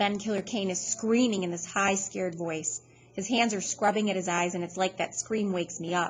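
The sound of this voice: The clip features an unforced reading voice.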